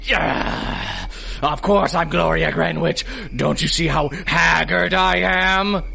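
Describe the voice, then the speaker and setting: Over noticeable background noise, a man in a put-on character voice speaks very slowly at a high pitch with a theatrical tone. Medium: audio drama. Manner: theatrical, blustering.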